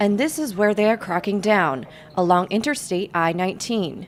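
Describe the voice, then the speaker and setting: A woman talks at a moderate speed while noticeable noise sits in the background. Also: medium pitch for a woman. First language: English or Spanish (bilingual). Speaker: broadcast journalist, reporter. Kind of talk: TV news reporting, stand-up and voiceover.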